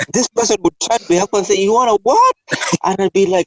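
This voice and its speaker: A man speaks with a Kenyan accent. The sound is dry and close, with no echo. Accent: Kenyan, Americans struggle to understand. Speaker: podcast host. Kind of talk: casual chat.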